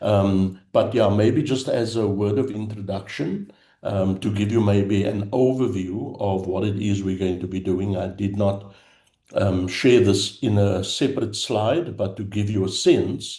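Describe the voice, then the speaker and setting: The voice has a dark, mellow tone and is somewhat breathy. It moves at a fairly slow pace. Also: man. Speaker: theological education consultant. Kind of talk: lecture.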